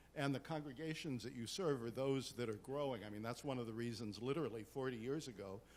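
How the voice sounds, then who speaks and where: Very fast delivery from a man, pitch varying in an ordinary way. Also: medium pitch for a man, hardly any pauses. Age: 70s. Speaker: priest. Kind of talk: panel discussion.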